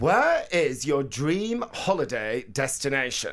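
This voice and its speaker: A man with a northern English accent speaks at a fairly high pitch. His pitch swings very widely. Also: very clean recording, silent background. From northern England. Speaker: radio presenter and novelist. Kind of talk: casual chat. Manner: fast talker; energetic.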